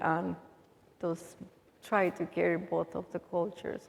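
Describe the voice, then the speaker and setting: Speaking at a fairly slow pace, a woman talks with a Salvadoran accent. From El Salvador. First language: Spanish. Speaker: immigrant aid worker. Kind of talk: Q&A talk.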